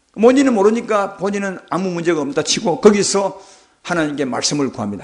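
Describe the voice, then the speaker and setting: A man speaks at a moderate pace in a high voice with very wide pitch swings. Audible echo fills the room. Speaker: pastor. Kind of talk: sermon.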